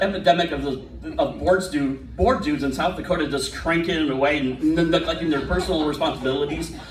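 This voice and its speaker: A man talks at a fairly quick pace and a fairly high pitch, with ordinary pitch variation. Audible room echo and noticeable background noise fill the recording. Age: 40s. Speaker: stand-up comedian. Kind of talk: stand-up.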